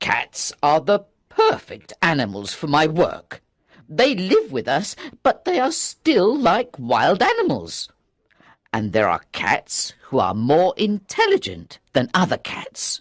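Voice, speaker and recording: The pace stays fairly slow. The delivery is a put-on character voice. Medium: read story. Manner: patient, earnest.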